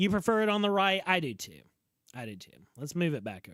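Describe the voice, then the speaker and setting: On a very clean recording with a silent background, a man with a Southern US accent speaks in an animated tone. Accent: Southern drawl. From US South. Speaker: video game streamer. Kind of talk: live gameplay commentary. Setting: livestream. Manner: slurred speech.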